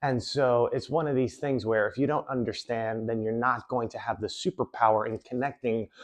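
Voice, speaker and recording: The pace is moderate. The background is quiet. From New York City. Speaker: magician and self-improvement coach. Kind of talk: motivational talk.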